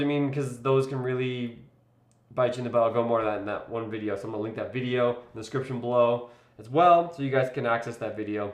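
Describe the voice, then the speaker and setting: A man talks at a very fast pace with ordinary pitch variation, and audible room echo surrounds his voice. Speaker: wedding videographer and vlogger. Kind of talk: live stream tutorial. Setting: live stream. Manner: casual, filler-heavy.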